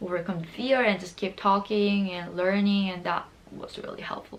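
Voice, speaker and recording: A woman with a Korean accent speaks at a medium pitch. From Seoul, South Korea. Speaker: lifestyle YouTuber. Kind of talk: casual talk to camera.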